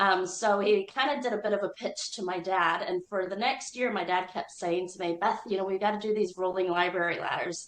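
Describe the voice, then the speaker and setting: Speaking at a fairly quick pace, a woman has a plain, everyday voice at medium pitch. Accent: American. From United States. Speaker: business owner. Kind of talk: interview.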